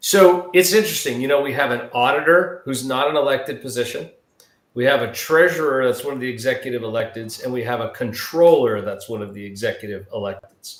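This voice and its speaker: A man at a fairly quick pace, fairly high pitch and big swings in loudness. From Southern California. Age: 50s. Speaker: political candidate. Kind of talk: interview.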